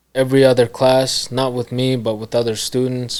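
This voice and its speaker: This is a man speaking. He goes at a moderate pace. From Kazakhstan. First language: Kazakh and Russian. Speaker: media businessman. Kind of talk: interview. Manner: casual, filler-heavy.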